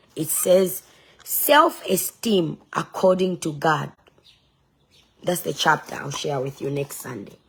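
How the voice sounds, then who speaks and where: A very slow, fairly low woman's voice with lively intonation and vocal fry. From Zambia. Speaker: online preacher and political candidate. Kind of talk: casual livestream sharing and talk. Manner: emphatic, defiant.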